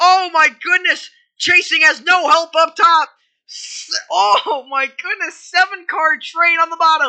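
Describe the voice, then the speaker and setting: A woman's extremely high voice is raised and projected, with a bright, sharp tone. She speaks very slowly, with ordinary pitch variation. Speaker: sim racing commentator. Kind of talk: live commentary. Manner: animated.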